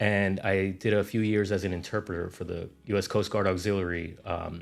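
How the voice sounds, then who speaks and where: There is music in the background. A man speaks at a fairly low pitch in a monotone, flat intonation. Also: moderate pace. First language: Spanish. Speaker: realtor. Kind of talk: interview.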